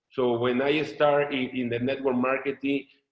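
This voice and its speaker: At a moderate pace, a man with a Mexican accent speaks at medium pitch. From Mexico. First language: Spanish. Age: 30s. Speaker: network marketing leader. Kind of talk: testimony. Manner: halting, many repetitions.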